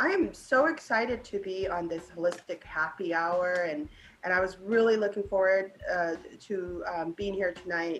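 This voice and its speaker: Over noticeable background noise, a woman speaks at a moderate pace and medium pitch with ordinary pitch variation. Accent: Southern California. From Laos, raised in California from age ten. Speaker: community cultural broker. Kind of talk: podcast interview.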